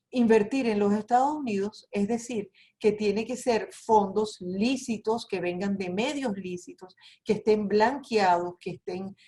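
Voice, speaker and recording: A woman with a Venezuelan accent speaks at a fairly slow pace in a fairly high pitch with ordinary pitch variation. Her tone is dark and mellow and somewhat breathy. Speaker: immigration lawyer. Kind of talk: webinar presentation.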